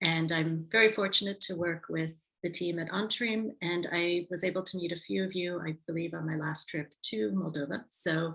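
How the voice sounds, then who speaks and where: A woman with an American accent has a normal speaking voice at a fairly low pitch. She keeps a moderate pace with ordinary pitch variation. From United States. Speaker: tourism marketing advisor. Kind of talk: webinar presentation. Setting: video call.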